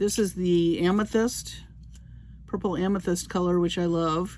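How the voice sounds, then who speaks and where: A woman with a fairly low pitch talks at a moderate pace in a monotone, flat intonation. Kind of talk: tutorial.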